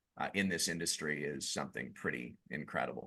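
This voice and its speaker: Bright and sharp in tone, a man's voice carries vocal fry at a moderate pace. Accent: Canadian. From Quebec, Canada (Montreal). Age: 40s. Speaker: business owner. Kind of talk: podcast interview. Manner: animated.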